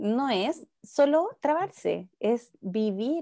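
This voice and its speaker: In a Chilean accent, a woman speaks with a dark, mellow tone. The recording is very clean, with a silent background and a dry, close sound with no echo. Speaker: speech therapist. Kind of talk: interview.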